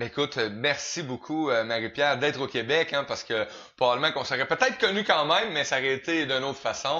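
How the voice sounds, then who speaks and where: A man speaks at a fairly quick pace with a Quebec accent. His tone is bright and sharp. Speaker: interview show host. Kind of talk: interview.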